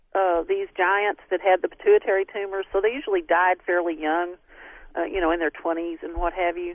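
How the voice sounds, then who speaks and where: A woman with a Southern US accent speaks with lively intonation. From Texas. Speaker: scientist, DNA researcher. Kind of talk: radio interview. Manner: hesitant, many fillers.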